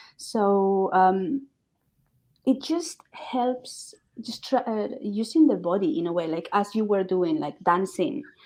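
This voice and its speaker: A woman's fairly high voice with a Spanish accent, very slow, dark and mellow, with very wide pitch swings. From Spain, Burgos, Castile. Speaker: language coach and author. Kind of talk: interview. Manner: hesitant, many fillers.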